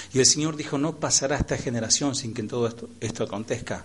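A man's somewhat breathy voice at a fairly quick pace, with ordinary pitch variation and audible room echo. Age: 40s. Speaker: pastor. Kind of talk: sermon. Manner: animated.

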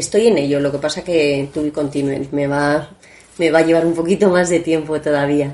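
Her voice is very deep and low in pitch for a woman, with a dark, mellow tone, fairly even intonation and a moderate pace. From Spain, Asturian family, summers in Asturias. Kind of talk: interview. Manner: halting, many repetitions.

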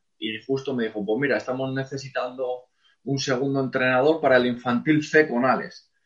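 Here is a man with an ordinary speaking voice. His pitch is medium and his pace moderate. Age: 30s. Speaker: football coach. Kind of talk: interview.

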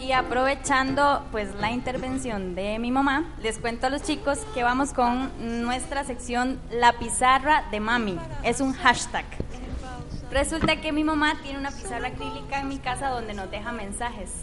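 The speech comes at a fairly slow pace with ordinary pitch variation. Audible room echo and noticeable background noise surround it. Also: woman, high pitch for a woman. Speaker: radio co-host. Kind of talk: casual chat.

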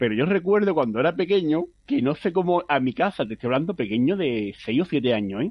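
A man's voice with very wide pitch swings. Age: 30s. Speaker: competitive card game player. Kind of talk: interview.

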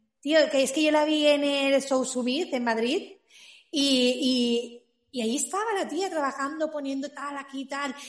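High-pitched female speech, its pitch rising and falling in an ordinary way. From Spain, Valencia area. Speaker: small business owner, cake maker. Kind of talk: casual interview.

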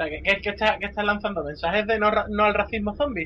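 This is a man's voice. Noticeable background noise runs behind him. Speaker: podcast co-host. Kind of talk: casual chat.

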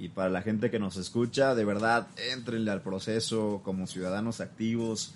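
Fairly slow and fairly even in intonation, this is a normal speaking voice. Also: man. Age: 20s. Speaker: journalist and political consultant. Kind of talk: interview.

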